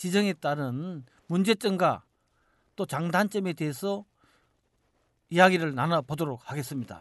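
A man's high voice, fairly slow, with lively intonation and a dry, close sound with no echo against a quiet background. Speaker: podcast host. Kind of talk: podcast discussion.

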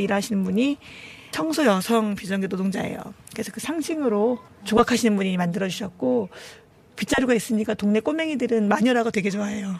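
Noticeable background noise sits behind the recording. A woman with a fairly high pitch talks at a very fast pace. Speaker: shelter committee chair, labor activist. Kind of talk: interview. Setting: on location at the shelter.

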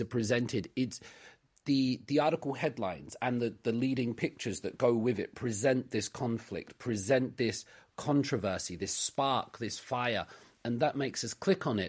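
A man speaks at a moderate pace in a medium pitch. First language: not Korean. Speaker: commentator on current issues. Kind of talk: radio discussion.

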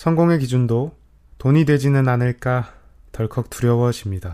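Here a man speaks at a medium pitch in a dark, mellow tone. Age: 20s. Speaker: podcast host, university student. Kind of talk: scripted monologue radio-style.

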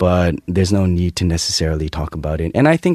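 With a Canadian accent, a man speaks at a fairly quick pace in a very deep, low pitch, with ordinary pitch variation. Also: dry, close sound with no echo. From Canada, Toronto. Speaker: English teacher and language consultant. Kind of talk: interview.

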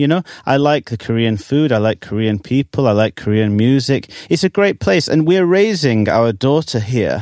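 A man with an English accent speaks at a medium pitch and a moderate pace, with lively intonation, hardly any pauses, and very even loudness. The sound is dry and close with no echo, on a very clean recording with a silent background. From England. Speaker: English teacher and trot singer. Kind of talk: casual interview.

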